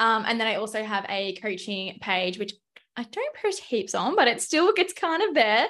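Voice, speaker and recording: A woman with an Australian accent speaks at a moderate pace and a fairly high pitch, her tone bright and sharp and her intonation lively. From Melbourne, Australia. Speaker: fitness coach. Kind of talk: casual chat.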